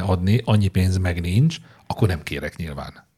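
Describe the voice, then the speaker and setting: Very fast and somewhat breathy, a man speaks in a dark, mellow tone with ordinary pitch variation. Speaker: podcast co-host. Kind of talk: casual chat.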